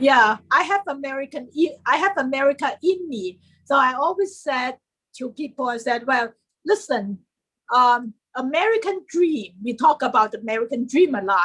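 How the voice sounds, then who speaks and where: With a Chinese accent, a high-pitched woman speaks at a moderate pace, her pitch swinging very widely. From China. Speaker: historian and writer. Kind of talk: interview.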